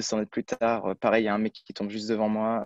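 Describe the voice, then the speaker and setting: Set against a quiet background, the audio is dry and close, without any echo. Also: man. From France, Brittany. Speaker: student athlete, runner. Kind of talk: interview. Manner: halting, many fillers.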